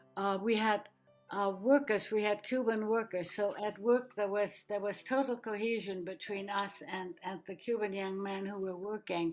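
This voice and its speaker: Music plays in the background while a woman with a medium pitch talks at a moderate pace with fairly even intonation. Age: 80s+. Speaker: Holocaust escapee and refugee. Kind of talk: interview answer.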